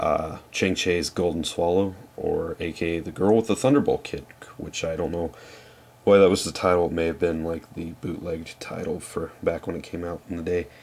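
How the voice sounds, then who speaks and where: Delivery is neither fast nor slow, at a moderate pace. The pitch keeps fairly even. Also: man, very deep, low pitch for a man. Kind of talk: casual talk to camera. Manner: hesitant, many fillers.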